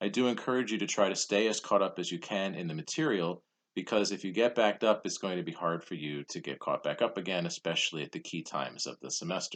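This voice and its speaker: A man's fairly low-pitched voice at a very fast pace, with very wide pitch swings. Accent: American. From New Jersey. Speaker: college history professor. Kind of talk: recorded lecture. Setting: home basement studio.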